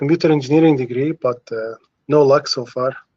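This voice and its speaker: A man speaks with an Arabic accent. His pitch is fairly high, with ordinary pitch variation. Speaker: caller, job seeker. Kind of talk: live Q&A question. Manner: halting, many fillers.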